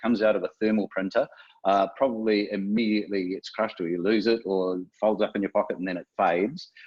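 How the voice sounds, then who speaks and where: In a New Zealand accent, a man speaks very fast at a fairly low pitch with fairly even intonation. The sound is dry and close with no echo, against a quiet background. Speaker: software developer. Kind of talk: webinar presentation. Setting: online webinar. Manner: hesitant, many fillers.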